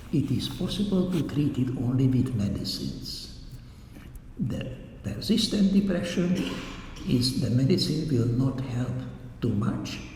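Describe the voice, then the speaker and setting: A man with a non-native accent speaks at a fairly slow pace and medium pitch, his pitch swinging very widely, with long, frequent pauses, audible room echo and noticeable background noise. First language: not English. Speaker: doctor giving a public talk. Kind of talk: lecture. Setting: church hall talk with audience.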